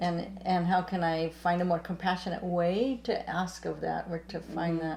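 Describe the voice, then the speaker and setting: A woman with an ordinary speaking voice talks at a moderate pace and fairly low pitch, with fairly even intonation. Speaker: talk show co-host. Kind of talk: interview questions.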